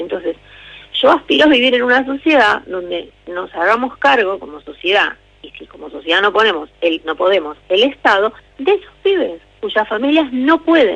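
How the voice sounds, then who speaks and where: A woman with a fairly high pitch speaks at a moderate pace, her pitch swinging very widely. Her loudness swings a lot too, over noticeable background noise. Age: 60s. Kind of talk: interview. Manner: halting.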